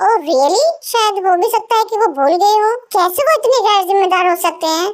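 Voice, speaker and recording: Putting on a squeaky character voice, a woman talks at a fairly quick pace and an extremely high pitch. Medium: fan dub. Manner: pompous.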